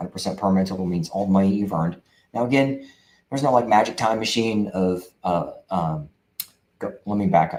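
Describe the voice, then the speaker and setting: Very fast delivery with ordinary pitch variation. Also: man. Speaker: veteran benefits advisor. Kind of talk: casual talk to camera.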